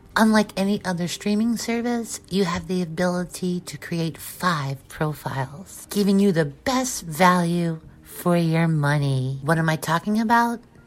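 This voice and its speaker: Music plays in the background while a woman talks at a fairly low pitch. Her pace is fairly slow and her intonation lively. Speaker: promo announcer. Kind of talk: scripted promo read.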